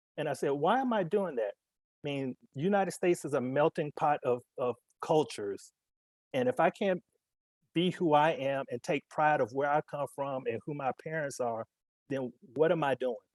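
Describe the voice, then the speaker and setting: The sound is dry and close, with no echo. A man with an American accent speaks at a fairly high pitch. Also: ordinary pitch variation, moderate pace. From US South, Alabama. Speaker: corporate executive panelist. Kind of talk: panel discussion.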